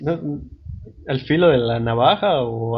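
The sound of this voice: A man's medium-pitched voice with a slightly husky edge, ordinary pitch variation and a slow pace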